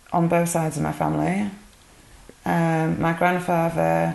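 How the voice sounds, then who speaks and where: A woman's fairly low voice with a Yorkshire accent, fairly slow and monotone, with flat intonation and audible room echo. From northern England, Yorkshire (Burley-in-Wharfedale). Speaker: interviewee giving testimony. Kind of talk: interview testimony.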